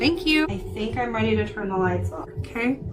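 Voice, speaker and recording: A woman speaks at a moderate pace with a fairly high pitch. Music plays in the background, and the room echo is audible. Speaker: psychic medium and paranormal investigator. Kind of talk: solo paranormal investigation vlog. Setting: hotel room.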